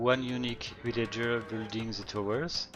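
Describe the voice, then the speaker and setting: Music plays in the background as a man of medium pitch speaks at a moderate pace with fairly even intonation. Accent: French. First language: French. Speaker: game caster. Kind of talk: live commentary. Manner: halting.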